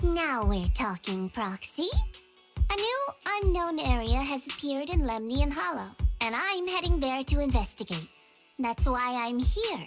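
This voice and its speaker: Faint music plays behind a woman doing a put-on character voice, high-pitched and at a moderate pace. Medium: game stream. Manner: playful, teasing, smooth.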